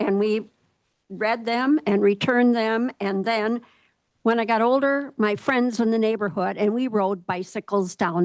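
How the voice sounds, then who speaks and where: A woman with an Upper Midwest accent speaks at a moderate pace, her fairly high pitch moving with ordinary variation. The sound is dry and close with no echo, over a quiet background. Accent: Upper Midwest American. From Minnesota, Goodview. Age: 70s. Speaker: local resident. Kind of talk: public comment. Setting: public meeting at podium.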